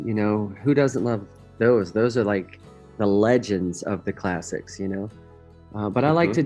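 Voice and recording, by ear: With music in the background, a man speaks at a fairly low pitch and a moderate pace with ordinary pitch variation.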